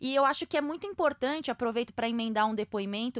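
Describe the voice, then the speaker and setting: High-pitched woman's voice with lively intonation at a fairly quick pace, dry and close with no echo. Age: 30s. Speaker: sports podcast host. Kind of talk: casual chat.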